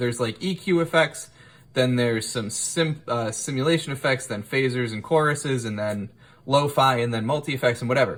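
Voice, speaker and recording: Somewhat breathy, a man with a medium pitch talks at a fairly quick pace with ordinary pitch variation. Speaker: music gear youtuber. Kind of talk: tutorial. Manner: animated.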